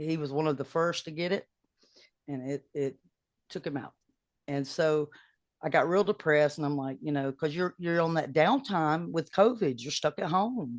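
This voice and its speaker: Quiet background and a dry, close sound with no echo frame a woman with a very deep, low pitch. She keeps a moderate pace and ordinary pitch variation, pausing long and often. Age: 60s. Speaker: singer-songwriter. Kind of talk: casual chat.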